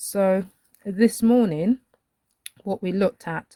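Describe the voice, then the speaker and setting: A woman with a dark, mellow tone and medium pitch talks at a very slow pace, the sound dry and close with no echo. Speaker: colouring art teacher. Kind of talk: live-stream tutorial. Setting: live stream with chat. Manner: hesitant, many fillers; unhurried.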